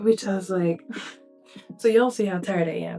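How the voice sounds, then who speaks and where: A woman is speaking with music playing in the background. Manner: speaks softly, cannot easily speak louder.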